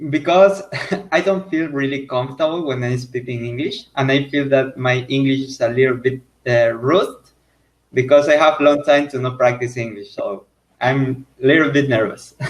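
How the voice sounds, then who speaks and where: A man with a Spanish accent talks at medium pitch. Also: ordinary pitch variation, moderate pace. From Ecuador. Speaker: language learner. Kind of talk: casual chat. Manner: halting.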